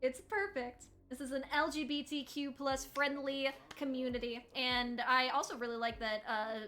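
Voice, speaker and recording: Using ordinary pitch variation, a woman with an American accent talks at a moderate pace and a high pitch. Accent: southern, comes out at times. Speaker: tournament host and caster. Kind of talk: live esports commentary. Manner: animated.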